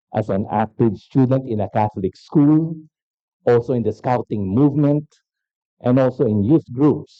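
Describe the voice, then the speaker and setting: A man with a Filipino accent talks at medium pitch with lively intonation. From Philippines. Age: 60s. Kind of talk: keynote lecture.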